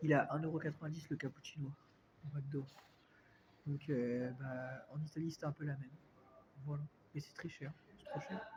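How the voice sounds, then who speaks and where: Long, frequent pauses break up a moderate pace and monotone, flat intonation, with noticeable background noise behind it. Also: man. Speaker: vlogger. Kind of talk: casual vlog talk. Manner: hesitant, many fillers.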